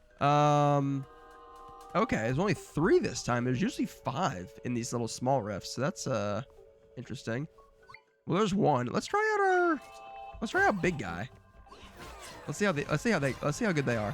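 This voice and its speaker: A man's fairly high voice with very wide pitch swings and long, frequent pauses, music playing in the background. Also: moderate pace. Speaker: gaming streamer. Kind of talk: live gameplay commentary. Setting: live stream. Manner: casual, halting.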